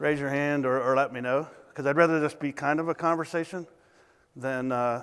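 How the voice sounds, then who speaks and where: In a very clean recording with a silent background, a man with a Southern US accent talks at a fairly quick pace with fairly even intonation. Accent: Southern twang. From US South. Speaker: consultant. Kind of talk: conference talk. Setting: stage with audience. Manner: mumbling.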